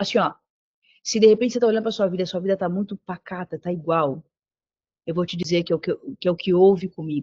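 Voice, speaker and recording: A woman speaks at a very fast pace, broken by long, frequent pauses. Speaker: preacher. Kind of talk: sermon. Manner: animated.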